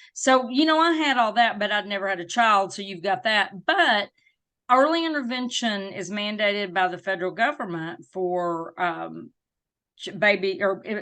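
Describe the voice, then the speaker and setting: Against a quiet background, a woman with a Southern US accent speaks at medium pitch and a moderate pace, her bright, sharp tone carrying lively intonation and big swings in loudness. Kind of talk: interview. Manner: animated.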